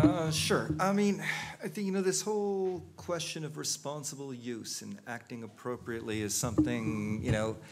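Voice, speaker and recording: A man talks at a fairly high pitch with very wide pitch swings and big jumps in loudness, and the room echo is audible. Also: moderate pace. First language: not English. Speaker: panelist on humanitarian technology. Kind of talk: panel discussion. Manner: hesitant, many fillers.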